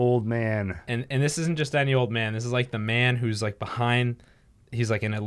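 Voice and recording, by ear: A natural voice, reading aloud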